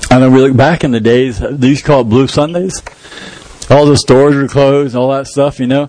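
Noticeable background noise beneath fairly even intonation. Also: man, medium pitch for a man, fairly quick pace. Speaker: pastor. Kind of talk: sermon.

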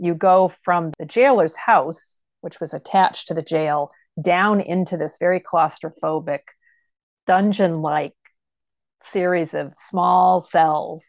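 A woman talks at a very slow pace in a fairly low pitch. The background is quiet. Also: ordinary pitch variation, dry, close sound with no echo. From Maine, Pittsfield. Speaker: history center director. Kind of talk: interview.

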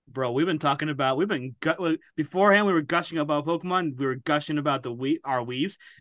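A man with a fairly high pitch talks at a very fast pace with ordinary pitch variation and hardly any pauses. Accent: American. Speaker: podcaster guest. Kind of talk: casual chat. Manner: halting.

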